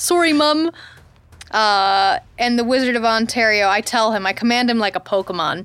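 A woman talks in an ordinary speaking voice at a moderate pace, her fairly high pitch carried by lively intonation. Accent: American. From US Midwest. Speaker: podcast co-host. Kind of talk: casual chat. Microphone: very close to the mic.

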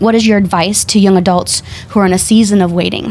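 Noticeable background noise sits behind a woman speaking at a moderate pace and medium pitch with fairly even intonation. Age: young. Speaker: audiologist. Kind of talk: panel discussion. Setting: studio.

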